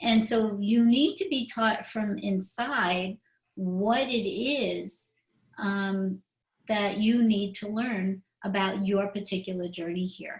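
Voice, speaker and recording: Her voice is somewhat breathy and sits at a medium pitch for a woman. She speaks at a very slow pace with ordinary pitch variation. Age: 60s. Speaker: spiritual talk show host. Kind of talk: casual chat.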